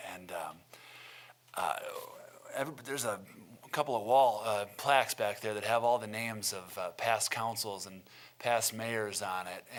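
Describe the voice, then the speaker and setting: A speaker with an American accent talks at a moderate pace, using ordinary pitch variation, big swings in loudness, and long, frequent pauses. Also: man, medium pitch for a man. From Milton, Wisconsin, US Midwest. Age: 30s. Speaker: city council candidate. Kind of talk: candidate forum statement. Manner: hesitant, many fillers.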